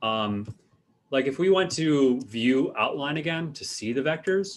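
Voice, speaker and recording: This man has a plain, everyday voice, fairly high in pitch. He talks at a fairly slow pace with lively intonation. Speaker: university art instructor. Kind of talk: lecture. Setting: video call.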